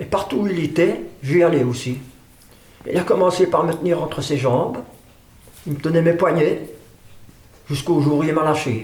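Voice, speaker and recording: A man speaks with long, frequent pauses. There is audible room echo and noticeable background noise. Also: fairly high pitch for a man, ordinary pitch variation, moderate pace. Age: 80s+. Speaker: drummer. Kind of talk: interview testimony. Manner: halting.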